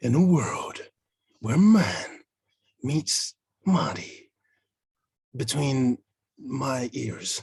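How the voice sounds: A put-on character voice at a low-to-middle pitch moves at a very slow pace, broken by long, frequent pauses.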